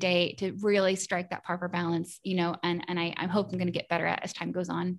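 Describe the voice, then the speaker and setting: The background stays quiet. A woman speaks very fast. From East Tennessee (Morristown). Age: 30s. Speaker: freelance graphic designer and entrepreneur. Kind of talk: interview conversation.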